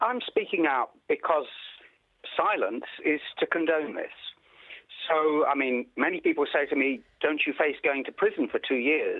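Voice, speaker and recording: A man with an English accent speaks at a moderate pace, leaving long, frequent pauses. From England. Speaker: pediatrician. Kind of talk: news interview.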